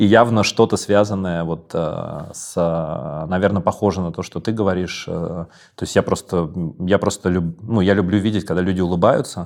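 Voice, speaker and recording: Fairly even intonation and a moderate pace in a man's very deep, low voice. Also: very clean recording, silent background. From Moscow. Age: young. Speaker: podcast host. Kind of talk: interview.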